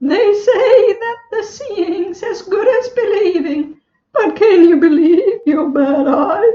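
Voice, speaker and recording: A woman does a squeaky, put-on character voice at extremely high pitch and a very slow pace, with slight echo. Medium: stage play. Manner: playful, punning, rhythmic.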